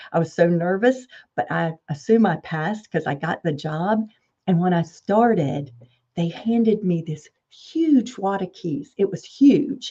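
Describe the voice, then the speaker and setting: Somewhat breathy and dark, mellow in tone, the voice moves at a fairly slow pace with lively intonation and a Southern US accent. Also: woman, medium pitch for a woman. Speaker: property management executive. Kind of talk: podcast interview.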